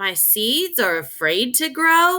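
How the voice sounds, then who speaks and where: A put-on character voice leaps through very wide pitch swings. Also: woman. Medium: read story. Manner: impatient.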